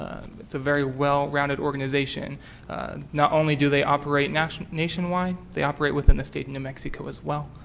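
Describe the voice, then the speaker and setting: A man talks at a fairly quick pace with a fairly high pitch. Audible room echo surrounds his voice. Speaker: city staff presenter. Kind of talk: council committee presentation. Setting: council meeting with microphone. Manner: loud.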